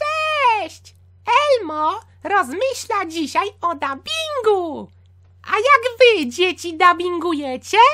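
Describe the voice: A man's put-on character voice, extremely high in pitch, very slow, with very wide pitch swings.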